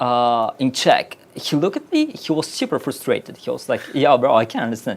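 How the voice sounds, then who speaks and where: Speaking with a Russian accent, a man keeps a moderate pace. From Uzbekistan. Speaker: game company artist. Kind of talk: casual chat. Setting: live stream. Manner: halting.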